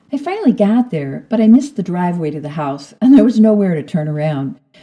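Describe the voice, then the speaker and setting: A somewhat breathy woman's voice, dark and mellow, at a fairly quick pace with very wide pitch swings. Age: 60s. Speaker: podcast host. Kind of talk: personal storytelling.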